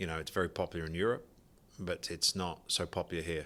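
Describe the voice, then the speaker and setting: A man speaks with a British accent. The recording is very clean, with a silent background. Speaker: vacuum sealer distributor, company founder. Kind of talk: podcast interview.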